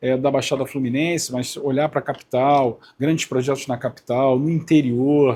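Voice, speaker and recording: Fairly high in pitch with a dark, mellow tone, a man speaks at a fairly slow pace with fairly even intonation. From Rio de Janeiro, north zone. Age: 50s. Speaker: politician. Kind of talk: interview. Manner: hesitant with fillers.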